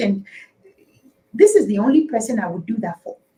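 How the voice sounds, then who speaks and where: A woman talks in a fairly high voice with a dark, mellow tone and vocal fry. Her intonation is lively. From Nigeria, Igbo (Afikpo). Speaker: politician and talk show guest. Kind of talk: talk show interview. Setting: live online talk show. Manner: hesitant, many fillers and repetitions.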